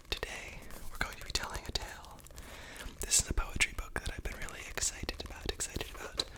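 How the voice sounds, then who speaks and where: A woman whispers at a very fast pace. Noticeable background noise runs underneath. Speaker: ASMR creator. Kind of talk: whispered poetry reading for sleep.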